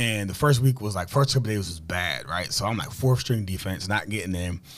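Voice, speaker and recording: A man's fairly low-pitched voice with ordinary pitch variation, on a very clean recording against a silent background. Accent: New Jersey. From New Jersey, Camden. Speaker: former pro football player and author. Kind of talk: interview. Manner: many filler words.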